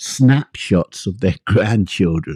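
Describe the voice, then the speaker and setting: In an English accent, a man speaks at a medium pitch with a dark, mellow tone and ordinary pitch variation. The sound is dry and close with no echo, on a very clean recording with a silent background. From England. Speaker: author. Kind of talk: poetry reading.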